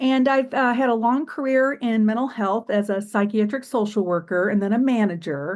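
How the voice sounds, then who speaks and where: A woman's unremarkable speaking voice, fairly high in pitch, with ordinary pitch variation, a moderate pace and a quiet background. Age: 60s. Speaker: retired psychiatric social worker, patient. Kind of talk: podcast interview.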